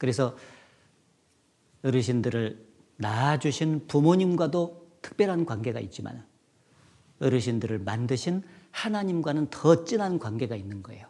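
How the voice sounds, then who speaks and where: At a fairly slow pace, a man speaks at medium pitch in a dark, mellow tone, with very wide pitch swings, big swings in loudness and long, frequent pauses. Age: 60s. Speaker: pastor. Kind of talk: sermon.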